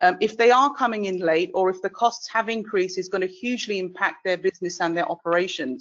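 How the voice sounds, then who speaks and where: A woman with a British accent, lively intonation and a fairly quick pace. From UK. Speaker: webinar moderator. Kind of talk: panel discussion moderation. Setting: online webinar.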